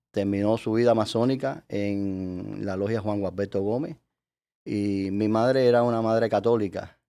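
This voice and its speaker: A man with a fairly low pitch and a dark, mellow tone, in a Cuban accent, at a fairly slow pace with fairly even intonation, on a very clean recording with a silent background. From Cuba, Havana. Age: 60s. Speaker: Freemason leader, lawyer. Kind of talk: interview. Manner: halting, many fillers.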